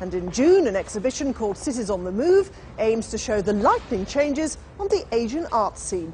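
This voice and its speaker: With music in the background, a woman of fairly high pitch speaks at a moderate pace in lively intonation. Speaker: news presenter. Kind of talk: TV arts magazine presenting.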